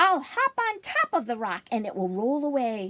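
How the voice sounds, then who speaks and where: A woman uses a put-on character voice with a high pitch. She speaks at a moderate pace. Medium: read story.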